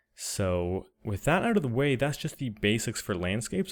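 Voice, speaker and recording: On a very clean recording with a silent background, a man speaks quietly at a fairly quick pace. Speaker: 3D artist and tutorial creator. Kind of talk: software tutorial narration.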